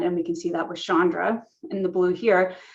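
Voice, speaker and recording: With a medium-pitched voice, a woman keeps to a moderate pace. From US West Coast, Los Angeles (San Fernando Valley). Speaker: astrophysicist. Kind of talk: lecture.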